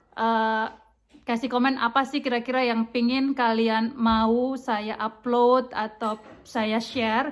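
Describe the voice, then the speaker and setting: This woman talks at a very slow pace. Her high pitch stays monotone, with flat intonation. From Indonesia, East Nusa Tenggara (NTT). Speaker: vlogger. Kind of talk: vlog intro to camera. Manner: halting, many fillers.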